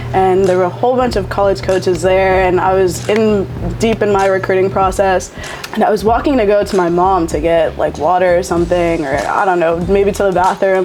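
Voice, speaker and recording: A woman with an American accent talks at a fairly quick pace, with ordinary pitch variation and very even loudness. Noticeable background noise and audible room echo are present. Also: medium pitch for a woman. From Florida, Seminole County. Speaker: college softball player. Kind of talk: casual interview. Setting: hot sauce shop. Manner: hesitant, many fillers.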